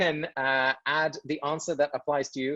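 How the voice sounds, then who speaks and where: Speaking at a fairly quick pace, a man with an English accent has a fairly high pitch. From England. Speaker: author and speaker. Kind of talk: talk to online audience. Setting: video call webinar.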